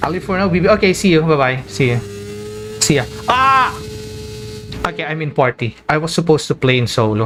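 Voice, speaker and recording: The speech moves at a fairly quick pace, with very wide pitch swings. Long, frequent pauses break it up over noticeable background noise. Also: man, fairly high pitch for a man. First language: Filipino local language. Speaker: game streamer. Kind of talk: casual live-stream chat. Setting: live stream. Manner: casual, simple wording.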